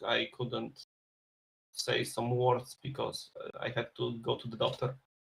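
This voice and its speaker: A man with a non-native accent, at a fairly slow pace. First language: not English. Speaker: first-time esports co-caster. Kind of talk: esports pre-game casting chat. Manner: halting, some speech difficulty.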